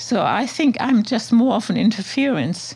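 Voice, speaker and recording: A woman speaks in a German accent. Her pace is moderate. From Germany, Hamburg. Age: 70s. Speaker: artist. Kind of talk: interview conversation.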